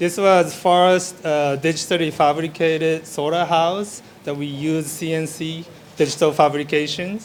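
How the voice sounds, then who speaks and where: In a room with audible echo, a man with a Japanese accent speaks fairly slowly in a flat monotone at a fairly high pitch. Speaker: architect and interior designer. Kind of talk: conference presentation. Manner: halting.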